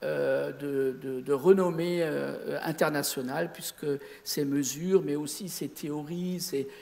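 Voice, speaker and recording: A man's fairly high voice at a very slow pace, fairly even intonation, big swings in loudness, and audible room echo. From Lorraine, Sarreguemines (Moselle). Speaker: amateur astronomer. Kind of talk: lecture. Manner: halting.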